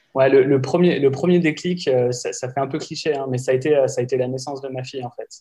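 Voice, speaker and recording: At a very fast pace, a man talks in a fairly high pitch with fairly even intonation. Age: 30s. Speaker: industrial sector employee and wellbeing consultant. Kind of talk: interview.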